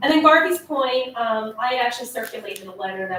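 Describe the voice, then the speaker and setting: A woman's fairly high voice moves at a fairly quick pace, with noticeable background noise present. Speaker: economic development agency staff. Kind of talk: board meeting report. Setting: meeting room at city hall. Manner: fast.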